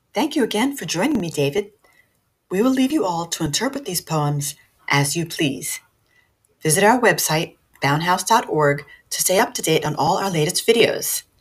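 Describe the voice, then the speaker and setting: A woman speaks at a moderate pace and medium pitch, her voice somewhat breathy. Her pitch swings very widely, broken by long, frequent pauses. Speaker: podcast host. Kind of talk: scripted introduction and outro.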